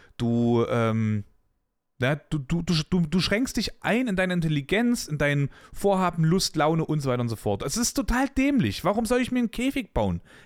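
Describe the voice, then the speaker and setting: A man's fairly high-pitched, animated voice at a moderate pace, with very wide pitch swings, in a very clean recording over a silent background. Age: 20s. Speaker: podcast host. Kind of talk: casual monologue.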